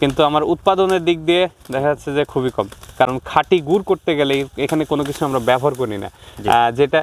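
Background noise is noticeable throughout. The pitch varies in an ordinary way. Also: man, fairly high pitch for a man. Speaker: young date-jaggery producer. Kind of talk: interview.

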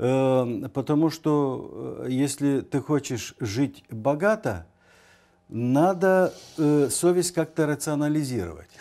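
Against a quiet background, a man with a fairly high pitch and a dark, mellow tone talks at a very slow pace and very even loudness. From Moldova. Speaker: university rector and scholar; guest. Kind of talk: TV interview. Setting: studio. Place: studio. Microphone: lapel.

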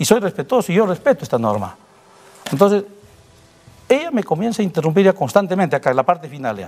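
A man talks at a very fast pace in a high voice with very wide pitch swings and long, frequent pauses. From Peru. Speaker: police colonel; guest. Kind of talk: interview. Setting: studio. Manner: halting. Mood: defensive, explaining his side. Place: studio. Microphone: lapel.

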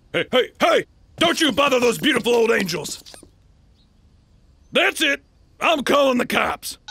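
In a dry, close sound with no echo, a man uses a raised, projected voice of extremely high pitch, with lively intonation, very even loudness, a moderate pace and long, frequent pauses. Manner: suspicious, fawning, then frantic and shouting.

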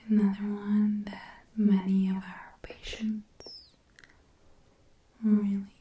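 A soft-spoken woman whispers very slowly with long, frequent pauses, audible room echo and light background noise around her. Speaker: ASMR creator. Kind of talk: ASMR roleplay, personal attention. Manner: soft-spoken, whispering. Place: home room.

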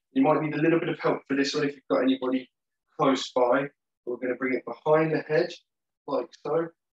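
A man at a moderate pace, with audible room echo and a quiet background. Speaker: exercise instructor. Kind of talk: tutorial. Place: gym. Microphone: camera far.

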